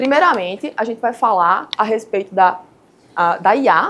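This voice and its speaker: With a Paraíba accent, a woman speaks at a fairly high pitch using lively intonation. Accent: Paraíba (northeastern Brazilian). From Paraíba, Brazilian Northeast. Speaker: structural engineer. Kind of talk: lecture.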